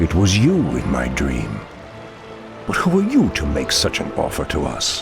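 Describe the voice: In a put-on character voice, a man speaks at a fairly slow pace with extremely low pitch, vocal fry and very wide pitch swings, over faint background music.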